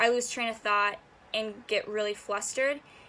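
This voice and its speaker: Her pace is very fast. The woman's voice is fairly high-pitched. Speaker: university student. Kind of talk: class presentation. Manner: halting.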